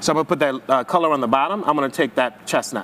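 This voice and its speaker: A man talks with ordinary pitch variation while noticeable background noise runs behind him. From Haiti. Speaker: hairstylist and educator. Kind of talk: live hair demonstration class. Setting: live-streamed virtual hair show. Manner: fast; high-energy, animated.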